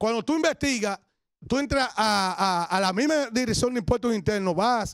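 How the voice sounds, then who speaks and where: A man's animated voice with lively intonation at a moderate pace, dry with no echo, over a quiet background. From Dominican Republic. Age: 40s. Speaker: radio and TV commentator; radio, TV commentator. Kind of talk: denunciation commentary. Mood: indignant, accusatory. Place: studio. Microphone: handheld.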